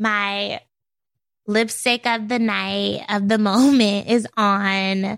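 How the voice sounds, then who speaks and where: A woman speaks at a very slow pace in a monotone, flat intonation. The recording is very clean, with a silent background. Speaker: beauty editor. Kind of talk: casual interview chat.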